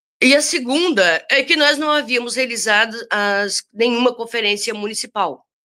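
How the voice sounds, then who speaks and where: Her voice is fairly high-pitched, with a bright, sharp tone and lively intonation, as this woman talks at a moderate pace with hardly any pauses. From southern Brazil (Rio Grande do Sul). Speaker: activist and librarian. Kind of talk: interview. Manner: animated.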